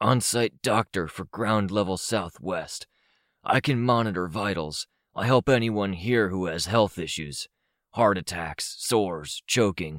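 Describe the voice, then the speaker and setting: A man puts on a raspy character voice at a fairly low pitch and fairly slow pace, recorded dry and close with no echo on a very clean recording with a silent background. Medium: read story. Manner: flat, emotionless, matter-of-fact.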